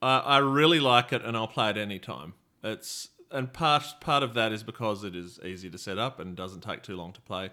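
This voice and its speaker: A man with an Australian accent, medium in pitch, with a bright, sharp tone, lively intonation, a fairly quick pace and big swings in loudness, on a very clean recording with a silent background. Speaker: board game podcast co-host. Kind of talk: casual chat.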